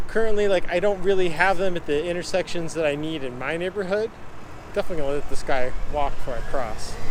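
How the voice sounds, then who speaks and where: A man's high voice at a very fast pace, with ordinary pitch variation over noticeable background noise. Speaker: cycling video blogger. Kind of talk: narrated ride-along vlog. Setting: outdoors on a bicycle in traffic. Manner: casual, conversational.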